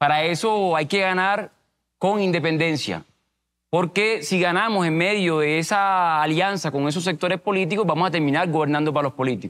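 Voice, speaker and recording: At a moderate pace and very even loudness, a man talks at a high pitch with ordinary pitch variation. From Cartagena, Colombian Caribbean coast. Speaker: mayoral candidate; candidate. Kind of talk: political debate. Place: studio. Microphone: lapel.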